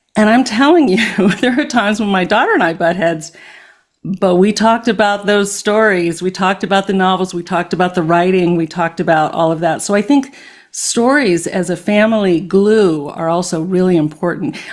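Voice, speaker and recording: A woman with a normal speaking voice talks at a fairly quick pace and a medium pitch, her pitch varying in an ordinary way. The recording is very clean, with a silent background. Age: 60s. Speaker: podcast host. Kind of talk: podcast interview.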